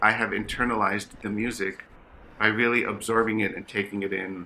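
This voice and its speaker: This man has a fairly low pitch and a bright, sharp tone, speaking at a fairly quick pace with monotone, flat intonation. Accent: American. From New York City. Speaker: orchestral bassoonist and teacher. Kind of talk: interview conversation. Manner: passionate.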